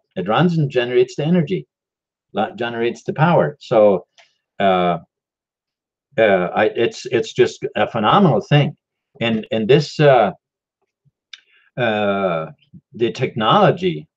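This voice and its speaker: With vocal fry and very wide pitch swings, a man at medium pitch talks at a moderate pace, leaving long, frequent pauses. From Mexico. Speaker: crypto and free energy video host. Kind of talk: live stream talk. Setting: live YouTube stream. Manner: halting, many fillers.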